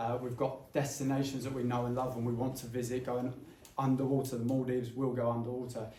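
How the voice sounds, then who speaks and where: A man rushes along at a very fast pace, his medium-pitched voice monotone and flat. Audible room echo surrounds the recording. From England, Essex. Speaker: former airline pilot, climate campaigner. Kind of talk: public talk / commentary.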